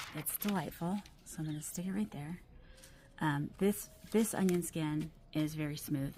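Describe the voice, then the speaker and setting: A soft-spoken woman talks at a fairly slow pace with vocal fry. Her pitch is very deep and low. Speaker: fountain pen reviewer. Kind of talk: casual talk to camera. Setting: outdoors. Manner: trying to be soft-spoken.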